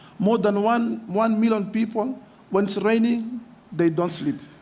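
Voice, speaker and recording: A man is talking with ordinary pitch variation. Room echo is audible in the recording. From Mozambique. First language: Portuguese. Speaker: mayor. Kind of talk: conference speech. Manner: halting.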